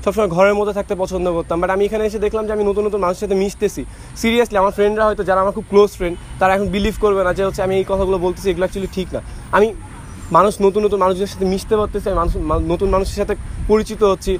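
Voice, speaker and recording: Against noticeable background noise, a man speaks in a high pitch with monotone, flat intonation. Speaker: university student. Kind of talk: personal speech to a group. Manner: halting.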